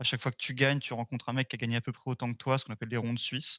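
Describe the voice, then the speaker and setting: A man at a medium pitch speaks with monotone, flat intonation. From Paris region, France. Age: 20s. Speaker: tabletop wargaming champion. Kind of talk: interview. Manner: hesitant with many fillers.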